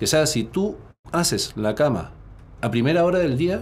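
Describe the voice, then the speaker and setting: Lively intonation from a man at a fairly high pitch, with vocal fry and a moderate pace. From Chile. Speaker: personal development coach and entrepreneur. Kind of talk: interview conversation. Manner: halting, frequent word repetitions.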